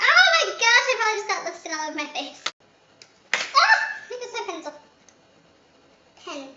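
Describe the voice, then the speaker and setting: Using a put-on character voice, a woman squeaks at an extremely high pitch at a moderate pace, with long, frequent pauses and an audible echo. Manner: talking very fast.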